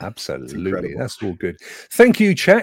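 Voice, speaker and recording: A man talks in an animated tone at a moderate pace. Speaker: podcast host. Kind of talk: casual chat. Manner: jokey, animated.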